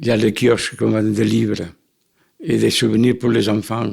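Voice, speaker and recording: A man with a Catalan accent speaks at a fairly slow pace. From Catalonia, Barcelona, Spain. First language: Catalan (speaking French). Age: 80s+. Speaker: elderly immigrant interviewee. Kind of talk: personal testimony. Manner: halting, with repetitions.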